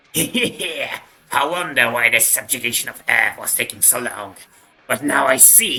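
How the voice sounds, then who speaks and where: A put-on character voice speaks at a fairly slow pace. The pitch sits low to middle. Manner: creepy, menacing.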